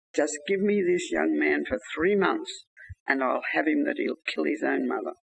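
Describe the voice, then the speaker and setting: A booming put-on character voice from a man at a moderate pace. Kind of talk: commanding, harsh.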